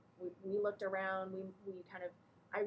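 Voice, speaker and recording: A woman speaks at a fairly quick pace and medium pitch, sounding somewhat breathy. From Texas. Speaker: nonprofit director. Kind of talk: talk to a small group.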